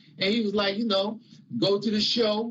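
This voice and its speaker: A man talks in a high voice. Noticeable background noise sits behind him. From Chicago, US Midwest. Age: 60s. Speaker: religious teacher. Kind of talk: testimony. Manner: conversational.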